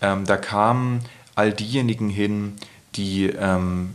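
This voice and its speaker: Very slow delivery in a monotone, flat intonation. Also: man. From Berlin, Germany. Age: 30s. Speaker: poet and author. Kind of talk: casual interview. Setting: at home.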